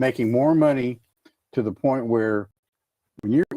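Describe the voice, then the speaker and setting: A man's dark, mellow voice with an American accent, lively intonation and a moderate pace, in a dry, close sound with no echo. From Minnesota. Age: 70s. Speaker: author. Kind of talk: casual chat.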